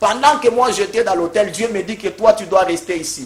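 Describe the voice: At a fairly quick pace, a man talks at a high pitch with ordinary pitch variation.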